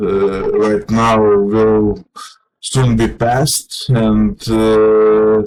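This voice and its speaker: A man speaks very slowly in a Lithuanian accent. His fairly low voice stays monotone and flat. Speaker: vlogger. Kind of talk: personal monologue. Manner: halting, many fillers.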